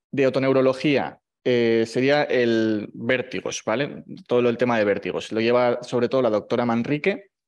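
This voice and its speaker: In a quiet setting, a man with a medium-pitched voice shows ordinary variation in pitch. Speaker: medical resident in ENT. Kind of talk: presentation. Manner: fast.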